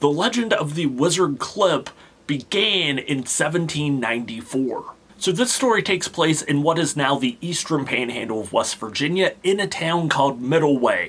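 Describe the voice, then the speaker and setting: A man talks at a moderate pace with a fairly high pitch and lively intonation. Noticeable background noise runs behind him. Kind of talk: folklore storytelling talk to camera. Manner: casual, conversational.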